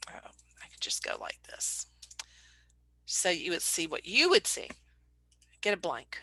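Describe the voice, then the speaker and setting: Whispering with a Southern US accent, a woman goes at a fairly slow pace with long, frequent pauses. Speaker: painter and art business owner. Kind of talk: casual tutorial talk to camera.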